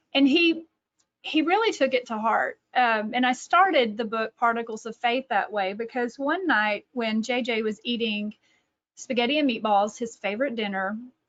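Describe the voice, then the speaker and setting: A woman speaks with a Texas accent at a moderate pace. Her pitch is fairly high and varies in an ordinary way. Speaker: author and catechesis director. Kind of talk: webinar presentation. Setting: online webinar.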